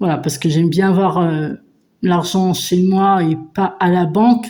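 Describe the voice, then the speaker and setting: A woman speaks with a dark, mellow tone at a fairly low pitch. Her pace is fairly slow and her intonation fairly even. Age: 50s. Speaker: budgeting vlogger. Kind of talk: casual vlog chat. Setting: at home. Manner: hesitant, many fillers.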